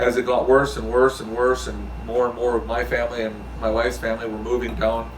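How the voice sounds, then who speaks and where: Someone talks at a very fast pace amid noticeable background noise and audible room echo. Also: man. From US Midwest. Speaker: former police officer, army veteran. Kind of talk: interview. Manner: halting, many fillers.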